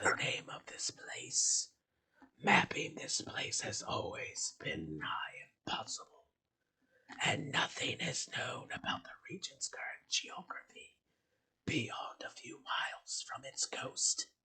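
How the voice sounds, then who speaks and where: A raspy, whispering put-on character voice moves at a fairly slow pace. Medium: actual play.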